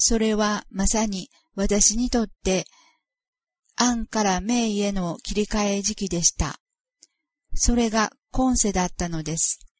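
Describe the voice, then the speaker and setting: A woman speaks at a very slow pace, somewhat breathy, with ordinary pitch variation and long, frequent pauses. The sound is dry and close, with no echo. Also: medium pitch for a woman. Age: 50s. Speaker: author of a spiritual memoir. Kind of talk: reading aloud.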